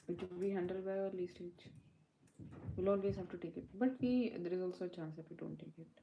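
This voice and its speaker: A soft-spoken woman talks at a fairly quick pace, with a medium pitch and fairly even intonation. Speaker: coding tutor livestreamer. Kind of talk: live coding session. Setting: livestream. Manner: halting.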